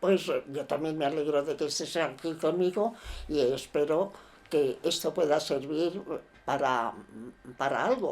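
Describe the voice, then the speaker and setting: In a very clean recording with a silent background, a woman with a very deep, low voice talks at a fairly slow pace with long, frequent pauses. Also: ordinary pitch variation. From Spain. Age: 80s+. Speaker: elderly podcast guest. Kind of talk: casual conversation. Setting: podcast recording. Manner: halting, many hesitations.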